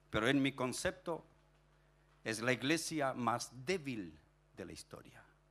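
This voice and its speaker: A man's medium-pitched voice with lively intonation, big swings in loudness, a fairly slow pace and long, frequent pauses. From Chile (Punta Arenas, raised in Viña del Mar); Chile. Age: 60s. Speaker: pastor. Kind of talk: sermon. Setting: stage with audience. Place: church. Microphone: handheld.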